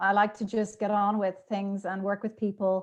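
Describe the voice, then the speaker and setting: At a moderate pace, a woman with a slight Irish accent speaks at a medium pitch. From Ireland, Dublin. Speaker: podcast guest. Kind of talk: casual interview chat. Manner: talkative, many fillers.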